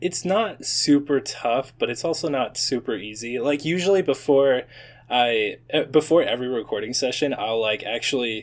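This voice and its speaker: In a very clean recording with a silent background, a man with a normal speaking voice and fairly high pitch talks at a moderate pace with lively intonation. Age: 20s. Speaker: YouTube animator and content creator. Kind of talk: casual chat.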